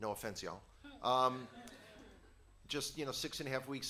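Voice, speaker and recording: A man with a New York accent speaks in a bright, sharp tone. His intonation is monotone and flat, with audible room echo. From New York, the Bronx. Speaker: guest teacher. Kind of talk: sermon.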